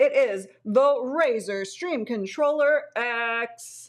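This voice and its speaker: Against a quiet background, a woman uses a put-on character voice with a high pitch and lively intonation, speaking at a very slow pace. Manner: dramatic, announcing.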